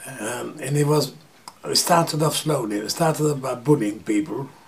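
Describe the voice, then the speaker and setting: There is noticeable background noise as a man with a medium pitch and ordinary pitch variation speaks at a moderate pace. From Transylvania, Romania/Hungary (Satmar). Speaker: Holocaust survivor. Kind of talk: interview testimony. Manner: halting, with many fillers.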